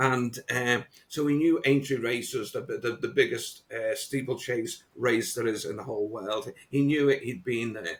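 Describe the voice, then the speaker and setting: A man with a Liverpool accent, fairly slow and somewhat breathy, with hardly any pauses. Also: medium pitch for a man, ordinary pitch variation. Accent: Liverpool (Scouse). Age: 60s. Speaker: motivational coach. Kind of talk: podcast interview. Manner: halting, many repetitions.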